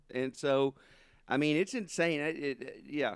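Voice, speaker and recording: Speaking at a moderate pace, a man talks in a Southern US accent. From southern Arkansas. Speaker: sports podcast host. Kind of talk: casual chat.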